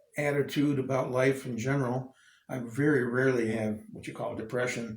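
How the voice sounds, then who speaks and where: A man's medium-pitched, somewhat breathy voice with ordinary pitch variation and audible room echo. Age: 70s. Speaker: nomad traveler. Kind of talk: casual chat.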